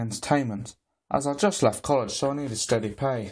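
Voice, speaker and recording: Speaking at a moderate pace, a man has a medium pitch. The recording is very clean, with a silent background. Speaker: amateur horror story narrator. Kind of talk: horror story narration.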